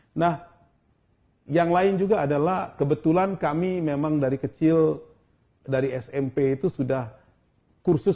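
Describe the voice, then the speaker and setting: The man's delivery is moderately paced, and the background stays quiet. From South Sumatra, Indonesia. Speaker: ambassador; guest. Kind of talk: casual interview. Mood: relaxed, friendly. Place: office.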